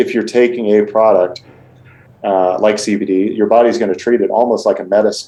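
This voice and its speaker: Speaking at a moderate pace, a man has a dark, mellow tone and a medium pitch. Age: 40s. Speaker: supplement company owner. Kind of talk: podcast interview.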